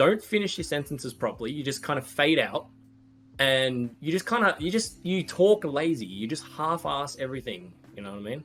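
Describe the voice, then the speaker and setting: A fairly quick Australian-accented voice with very wide pitch swings. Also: man, fairly high pitch for a man. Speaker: podcast co-host. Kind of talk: casual chat.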